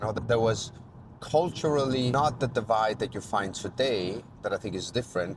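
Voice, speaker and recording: Somewhat breathy, a man speaks with an Italian accent. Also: medium pitch for a man, ordinary pitch variation, moderate pace. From Italy, raised in Denmark from age eight. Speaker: chef and former restaurant owner. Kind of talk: personal reflective monologue. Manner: hesitant, with frequent fillers.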